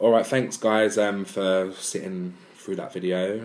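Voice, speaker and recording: Very slowly, a man with an English accent speaks in a very deep, low pitch. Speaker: weight-loss vlogger. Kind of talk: vlog monologue. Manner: monotone; hesitant with many ums.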